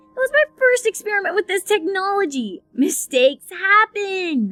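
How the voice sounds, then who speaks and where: A female-sounding, put-on character voice speaks at an extremely high pitch and a moderate pace. Faint music plays in the background. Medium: audio drama.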